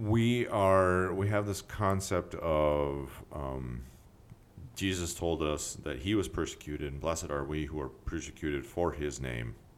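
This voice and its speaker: A man's very deep, low voice with lively intonation at a fairly slow pace. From Alaska (South Central). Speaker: podcast co-host. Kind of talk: casual chat.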